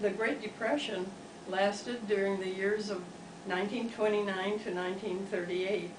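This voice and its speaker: A woman with an American accent speaks at a medium pitch in a monotone, flat intonation. Audible room echo and noticeable background noise surround her voice. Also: moderate pace. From US Midwest, Wisconsin. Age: 90s. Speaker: interviewee recalling the Great Depression. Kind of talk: interview.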